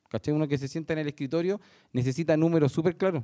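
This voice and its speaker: Very fast and fairly high in pitch, a man with a Chilean accent speaks in a dark, mellow tone on a very clean recording with a silent background. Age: 40s. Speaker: construction site engineer. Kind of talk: panel discussion.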